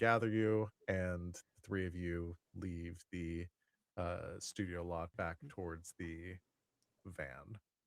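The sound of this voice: A man speaks very slowly in a low pitch with a fairly bright tone. His intonation stays fairly even.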